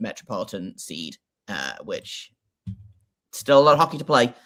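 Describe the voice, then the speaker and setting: A man with a British accent is heard in a very clean recording with a silent background. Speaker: hockey podcaster. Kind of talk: casual chat. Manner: halting, many fillers.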